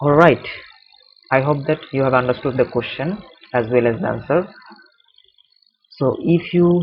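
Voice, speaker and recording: With a Bengali accent, a man at a fairly high pitch talks at a moderate pace with ordinary pitch variation, very even loudness, and long, frequent pauses. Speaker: chemistry tutor. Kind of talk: tutorial. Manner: halting.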